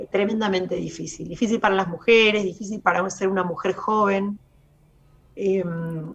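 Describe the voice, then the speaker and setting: The speaker has a Rioplatense accent and a moderate pace. Noticeable background noise sits behind the voice. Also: woman, medium pitch for a woman. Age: 40s. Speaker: lawyer. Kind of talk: radio interview.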